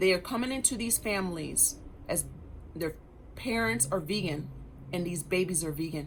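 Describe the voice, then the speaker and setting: A woman with a fairly low pitch and vocal fry speaks at a moderate pace, her intonation lively and her tone animated. She leaves long, frequent pauses, and the room echo is audible. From grew up in Germany. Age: 40s. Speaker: wellness vlogger. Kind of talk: personal testimony monologue.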